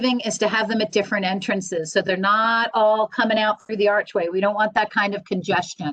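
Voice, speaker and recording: The sound is dry and close with no echo as a woman speaks at medium pitch in a bright, sharp tone, her intonation fairly even. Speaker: school administrator. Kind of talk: staff meeting presentation.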